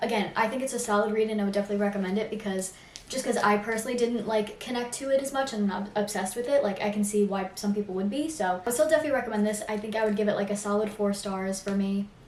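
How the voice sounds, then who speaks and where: A woman's fairly high pitch at a very fast pace with hardly any pauses, fairly even intonation, audible room echo, and noticeable background noise. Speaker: booktuber. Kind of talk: casual vlog chat. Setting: at home.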